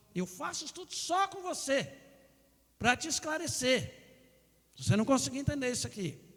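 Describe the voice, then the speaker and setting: A man speaks at an extremely high pitch, with very wide pitch swings, big swings in loudness, and long, frequent pauses. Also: moderate pace. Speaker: pastor. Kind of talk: sermon. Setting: church.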